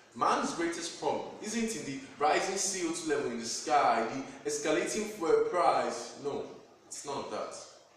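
Strong room echo and light background noise surround a man talking at a fairly slow pace. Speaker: spoken word poet. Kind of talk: spoken word poetry performance. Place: home room. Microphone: camera far.

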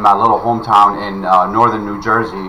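A man talks in a monotone, flat intonation. Light background noise sits behind him. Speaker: online marketing youtuber. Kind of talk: commentary reading a web page.

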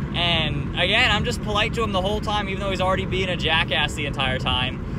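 Loud background noise sits behind a man talking at a fairly quick pace. The sound is dry, with no echo. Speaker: car channel vlogger. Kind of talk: casual vlog chat. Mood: annoyed, amused storytelling.

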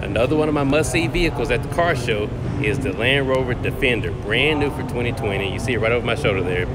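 A very fast-talking man with ordinary pitch variation over loud background noise. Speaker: car vlogger. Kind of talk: casual vlog chat. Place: hall. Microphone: phone near.

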